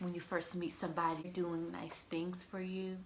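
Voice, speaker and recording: Fairly low-pitched woman with fairly even intonation, audible room echo and noticeable background noise. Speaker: lifestyle vlogger. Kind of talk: casual chat.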